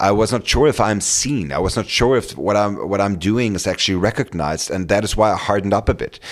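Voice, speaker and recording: Noticeable background noise surrounds a man who speaks at a very fast pace with a fairly low pitch and ordinary pitch variation. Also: hardly any pauses. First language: German. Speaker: career coach and podcast host. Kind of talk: solo podcast monologue. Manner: halting, many fillers and repetitions.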